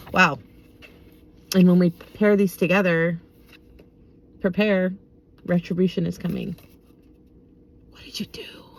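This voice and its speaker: At a moderate pace, a woman talks in a somewhat breathy voice with big swings in loudness. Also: medium pitch for a woman. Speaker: tarot and oracle card reader. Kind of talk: casual card reading vlog with reading aloud. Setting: in a parked car.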